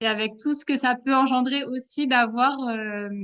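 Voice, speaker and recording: A woman speaks in a high pitch. Her intonation is fairly even. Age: 30s. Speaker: pediatric nurse and mother, program participant. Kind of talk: interview. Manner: hesitant, many fillers.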